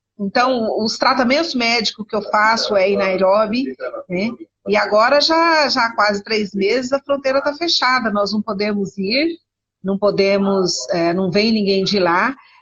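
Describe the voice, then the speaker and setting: Her voice is fairly high and an unremarkable speaking voice, as the woman talks at a fairly slow pace with lively intonation. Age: 60s. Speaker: missionary and historian. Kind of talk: interview conversation. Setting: video call from internet cafe. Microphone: unstable connection.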